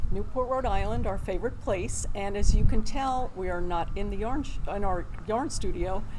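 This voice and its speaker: A woman talks at a moderate pace with hardly any pauses, her pitch medium with ordinary variation. Audible room echo and noticeable background noise surround her voice. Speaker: yarn charity co-host. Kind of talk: casual chat. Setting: outdoors. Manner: quiet.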